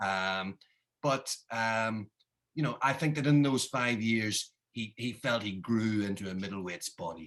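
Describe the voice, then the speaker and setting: A man speaks with a Northern Irish accent at a fairly low pitch. His tone is bright and sharp. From Northern Ireland. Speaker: author. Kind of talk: interview. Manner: halting with fillers.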